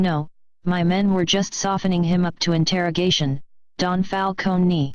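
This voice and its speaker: A put-on character voice sits at a middle pitch. It moves at a moderate pace over a quiet background. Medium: read story. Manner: deferential, formal.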